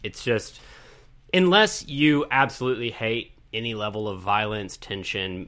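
The recording is very clean and the background silent. Over it, a man's tone comes across bright and sharp. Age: 30s. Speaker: podcast co-host. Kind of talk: casual chat.

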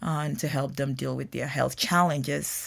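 A woman with a very deep, low pitch speaks at a moderate pace. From Ghana. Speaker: nutrition professor. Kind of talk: interview.

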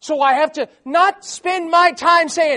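A man uses a raised, projected voice. His pitch is extremely high, with ordinary pitch variation. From South Florida. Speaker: missionary preacher. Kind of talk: sermon. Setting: church.

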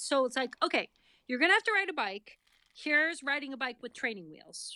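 A woman with an American accent speaks in a high pitch. Her voice is raised and projected, with a bright, sharp tone. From Massachusetts, Boston area. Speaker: parent of NICU baby, author. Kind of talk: casual interview, personal story.

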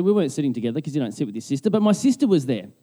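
In an Australian accent, a man speaks with a dark, mellow tone. His pitch swings very widely against a quiet background. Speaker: pastor. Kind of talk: sermon. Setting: church.

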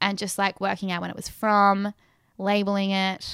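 With an Australian accent, a woman of medium pitch speaks at a moderate pace in a dry, close sound with no echo, on a very clean recording with a silent background. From Western Australia, Perth. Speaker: photographer. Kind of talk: casual interview. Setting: her apartment.

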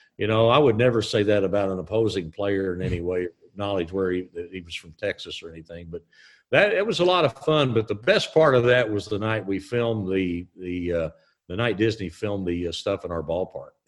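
A man with a Southern US accent speaks at a fairly low pitch with ordinary pitch variation. The background is quiet. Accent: Southern US drawl. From Southern Illinois / Tennessee. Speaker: stadium announcer. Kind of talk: class Q&A interview.

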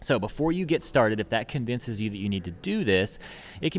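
At a fairly quick pace, a man of medium pitch speaks with lively intonation. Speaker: marketing podcast host. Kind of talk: solo tutorial podcast. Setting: recording in a public place.

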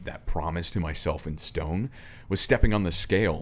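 A man talks at a fairly quick pace. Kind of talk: casual podcast interview. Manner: animated, conviction.

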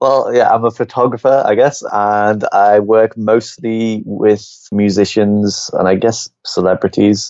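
A man talks at a fairly slow pace with a Liverpool accent. His pitch is fairly low and his intonation fairly even. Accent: Liverpool (Scouse) English. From Liverpool, England. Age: 20s. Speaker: photographer. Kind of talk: casual interview chat.

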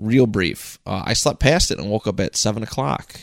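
Fairly low in pitch, a man with a plain, everyday voice speaks with ordinary pitch variation on a very clean recording with a silent background, the sound dry and close with no echo. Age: 20s. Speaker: podcaster. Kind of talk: casual chat. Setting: home podcast studio.

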